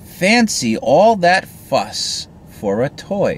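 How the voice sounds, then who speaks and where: A put-on character voice talks at a very slow pace over clear background noise. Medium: read story. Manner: brisk, matter-of-fact.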